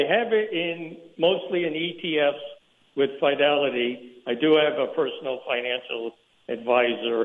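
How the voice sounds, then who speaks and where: Speaking fairly slowly, a man with a plain, everyday voice keeps a fairly high pitch and ordinary pitch variation. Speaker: mail carrier. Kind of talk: radio call-in. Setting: phone call.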